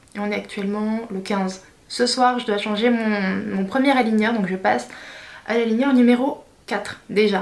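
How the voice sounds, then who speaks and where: A woman with a fairly high pitch speaks at a moderate pace with fairly even intonation. Audible room echo and noticeable background noise fill the recording. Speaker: beauty/lifestyle vlogger. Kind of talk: vlog tutorial. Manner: hesitant, many fillers.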